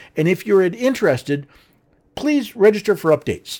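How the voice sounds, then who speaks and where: On a very clean recording with a silent background, a man with an American accent talks at a fairly quick pace with lively intonation. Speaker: podcast host. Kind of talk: scripted-style talk show monologue with a sales-pitch product plug. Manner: earnest, persuasive; slightly halting with stumbles and repeated words.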